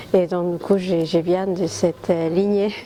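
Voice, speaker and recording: A woman with an Argentine accent speaks at a fairly slow pace and a fairly low pitch with monotone, flat intonation. Noticeable background noise is present. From Argentina. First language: Spanish (speaking French). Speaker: communications professional. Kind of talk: interview. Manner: hesitant, many fillers.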